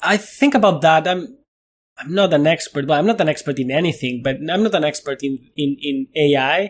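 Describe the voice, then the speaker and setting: Talking at a moderate pace with a Spanish accent, a man with a fairly high pitch uses lively intonation. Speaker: neuroscientist and physicist. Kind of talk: interview conversation. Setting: video call.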